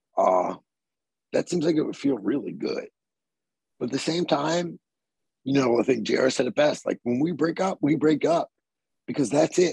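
In an American accent, a man with a fairly high pitch, vocal fry and lively intonation speaks at a moderate pace with long, frequent pauses, in a dry, close sound with no echo. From Southern Maryland, US. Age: 40s. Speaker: metal vocalist. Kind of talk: casual interview chat.

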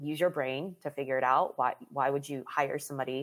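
Very clean with a silent background, the recording captures a woman with an American accent and a very deep, low pitch. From US, Maryland. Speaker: life and mental fitness coach. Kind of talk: casual interview chat.

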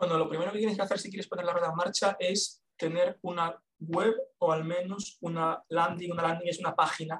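A man's high-pitched, monotone voice at a fairly quick pace. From Galicia, Spain (A Coruña). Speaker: copywriter. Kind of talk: interview.

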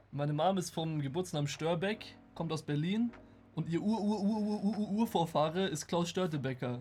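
The speaker is a man with a high pitch and ordinary pitch variation. He keeps a moderate pace. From Germany. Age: 20s. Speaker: occasional streamer and game designer. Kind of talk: casual chat.

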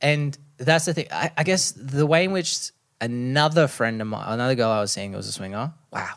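A man speaks with an Australian accent at a moderate pace. His medium pitch carries lively intonation.

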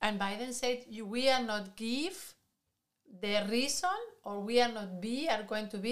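Using a Spanish accent, a woman speaks at a fairly slow pace. Her pitch is fairly high with ordinary variation. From Spain. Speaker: podcast co-host. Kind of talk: casual discussion.

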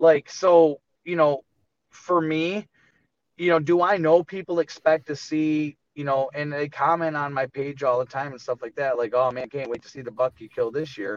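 A man with an American accent has an unremarkable speaking voice, fairly high in pitch with ordinary pitch variation. He talks at a moderate pace with big swings in loudness, in a dry, close sound with no echo. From Michigan. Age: 30s. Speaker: deer hunter. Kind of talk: casual interview.

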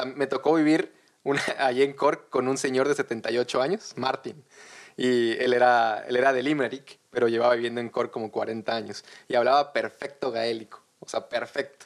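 This man has a plain, everyday voice with a medium pitch. He keeps a moderate speed and his intonation stays fairly even. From Mexico, Tabasco (Villahermosa). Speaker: guest sharing immigrant experience. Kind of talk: casual chat.

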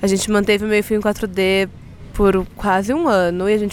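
With fairly even intonation, a woman of medium pitch speaks in an unremarkable speaking voice. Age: 20s. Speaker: podcaster and journalist. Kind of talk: casual interview chat. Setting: recording at a live event.

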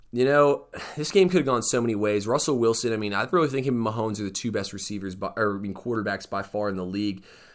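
Energetic in tone, a man with an American accent speaks at medium pitch with ordinary pitch variation. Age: 20s. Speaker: sports podcast host. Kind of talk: solo sports commentary podcast. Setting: studio. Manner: casual, energetic.

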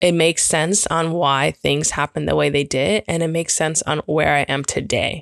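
A woman speaks in a very deep, low voice with vocal fry and an animated tone. The sound is dry and close, with no echo. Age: 30s. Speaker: podcast host. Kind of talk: casual monologue.

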